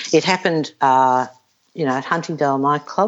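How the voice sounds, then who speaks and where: A woman talks with an Australian accent. Her pace is moderate, with ordinary pitch variation. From Australia, Melbourne. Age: 60s. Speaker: retired professional golfer. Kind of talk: casual interview. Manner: blunt.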